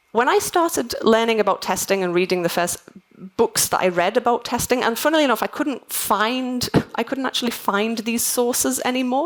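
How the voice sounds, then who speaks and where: In a Liverpool accent, a high-pitched woman talks at a fairly quick pace with lively intonation. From northern England, Liverpool. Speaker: conference keynote speaker, software testing manager. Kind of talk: conference keynote talk. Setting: stage with audience. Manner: fast; animated.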